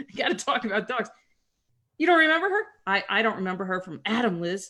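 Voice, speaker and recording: A woman speaks loud and fast, fairly quick in pace, with a theatrical, bright, sharp tone and very wide pitch swings. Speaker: career advisor. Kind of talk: Q&A seminar. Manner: loud and theatrical.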